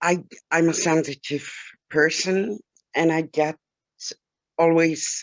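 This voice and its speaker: The speaker talks at a very slow pace. The voice carries a German accent. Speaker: webinar participant. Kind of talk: testimony. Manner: halting.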